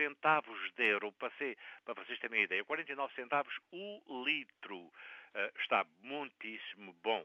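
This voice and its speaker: A man uses a normal speaking voice, fairly high in pitch, with lively intonation at a moderate pace. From Azores, Terceira island. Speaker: community radio correspondent. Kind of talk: casual chat.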